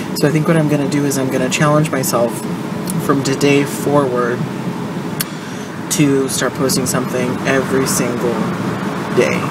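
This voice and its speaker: A woman speaks at a moderate pace with long, frequent pauses. Loud background noise runs underneath. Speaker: vlogger. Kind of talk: casual vlog chat. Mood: apologetic, relaxed. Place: car. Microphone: phone near.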